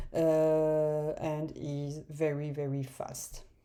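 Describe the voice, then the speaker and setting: A woman's dark, mellow voice, very deep and low in pitch, in a French accent. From France. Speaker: software developer. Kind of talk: tutorial. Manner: halting, many fillers.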